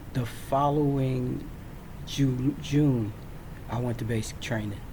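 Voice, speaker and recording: A man with an American accent at a very slow pace, with audible room echo. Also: medium pitch for a man, fairly even intonation. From Virginia, US South. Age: 60s. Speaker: military veteran storyteller. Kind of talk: personal storytelling. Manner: halting, frequent fillers.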